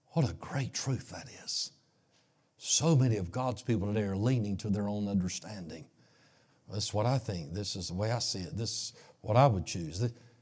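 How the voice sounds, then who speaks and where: On a very clean recording with a silent background, a man talks at a moderate pace in a somewhat breathy voice with ordinary pitch variation. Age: 60s. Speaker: pastor. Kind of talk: sermon.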